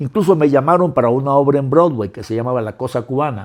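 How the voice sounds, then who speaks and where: Here a man with a plain, everyday voice talks at a medium pitch with ordinary pitch variation. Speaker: actor and filmmaker. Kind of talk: interview.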